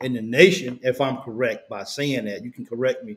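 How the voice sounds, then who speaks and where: A man at medium pitch speaks in a strong Kentucky accent. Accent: Kentucky accent, still strong. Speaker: sports podcast host. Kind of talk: casual sports interview. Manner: halting, repeats words.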